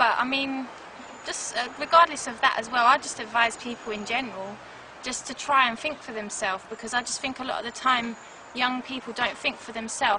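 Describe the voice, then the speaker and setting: Through noticeable background noise, a woman speaks at a fairly high pitch and a fairly quick pace with fairly even intonation. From South London, England. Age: 20s. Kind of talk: interview testimony.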